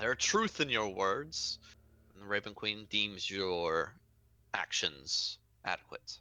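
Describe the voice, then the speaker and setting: A man speaks in a put-on character voice at a fairly slow pace. Long, frequent pauses break up his speech. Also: fairly low pitch for a man. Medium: actual play. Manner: formal, ceremonial.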